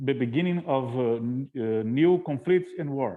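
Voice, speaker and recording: This man speaks at a medium pitch with a Portuguese accent and ordinary pitch variation. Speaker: interpreter. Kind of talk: live interpretation. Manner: halting.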